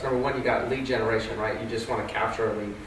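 Audible room echo and light background noise. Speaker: real estate agent. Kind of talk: panel discussion. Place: meeting room.

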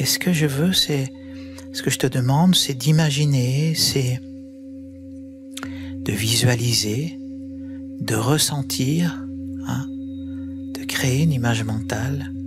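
Over music in the background, a man speaks very slowly in a calm, soothing tone with very wide pitch swings. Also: dry sound with no echo. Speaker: guided meditation and sound healing guide. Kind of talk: guided yoga nidra meditation. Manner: calm, slow, soothing. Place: home room. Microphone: studio mic.

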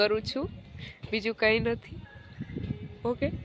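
A woman's fairly high voice over music in the background. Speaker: vlogger. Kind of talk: casual vlog.

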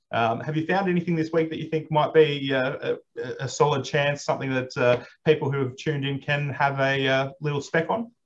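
A man with an Australian accent, fairly high-pitched and somewhat breathy, at a moderate pace with fairly even intonation over light background noise. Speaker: racing manager and host. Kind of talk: casual chat. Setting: video call. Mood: friendly, smiling. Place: office. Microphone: video call.

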